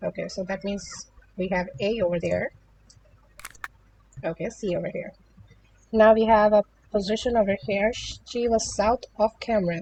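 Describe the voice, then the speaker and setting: A woman with a non-native accent talks at a medium pitch and a moderate pace, with ordinary pitch variation. Her speech has long, frequent pauses, and the sound is dry and close with no echo. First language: not English. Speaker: puzzle game youtuber. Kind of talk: gameplay tutorial. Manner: hesitant, many fillers.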